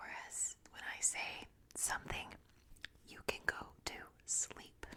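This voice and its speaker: Whispering at a very slow pace, a woman swings widely in loudness against noticeable background noise. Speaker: ASMR creator. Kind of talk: ASMR sleep quiz. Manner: whispered.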